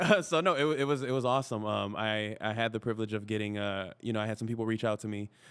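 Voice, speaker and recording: Hardly pausing at all, a man of medium pitch races along at a very fast pace with ordinary pitch variation. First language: Spanish. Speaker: actor and podcaster. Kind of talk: podcast interview. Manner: casual, many filler words.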